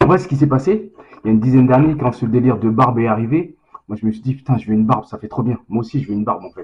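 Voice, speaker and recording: A man speaks in a somewhat breathy voice. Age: 40s. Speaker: vlogger, lab worker. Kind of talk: casual vlog to camera. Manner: fast; casual, slangy, hesitant.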